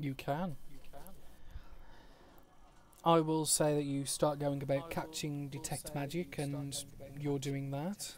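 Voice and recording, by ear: Slowly and with little pitch movement, a man talks in a fairly high voice.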